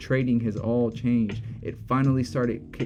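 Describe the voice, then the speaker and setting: Fairly quick speech with music in the background. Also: man. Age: 30s. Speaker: trading streamer. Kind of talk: live stream Q&A. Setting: live stream. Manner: casual.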